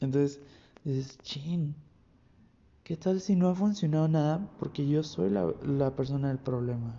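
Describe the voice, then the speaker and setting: A man with a Mexican accent speaks in a fairly high pitch, somewhat breathy. His pace is fairly slow, with long, frequent pauses. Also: ordinary pitch variation. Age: 20s. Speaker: podcast host. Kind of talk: solo podcast monologue. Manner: casual, animated.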